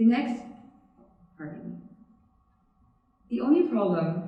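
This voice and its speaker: A woman talks with audible room echo around her voice. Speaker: student speaker. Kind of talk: TEDx talk.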